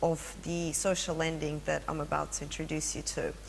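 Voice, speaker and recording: In a Russian accent, a woman speaks at a fairly quick pace with audible room echo. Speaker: finance executive. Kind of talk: presentation.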